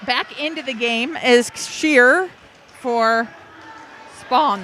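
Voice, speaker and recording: Noticeable background noise sits under a woman with an American accent, who speaks at a very slow pace in a high pitch. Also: ordinary pitch variation. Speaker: volleyball play-by-play announcer. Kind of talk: live commentary. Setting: indoor gym with loud crowd. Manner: loud, sometimes yelling.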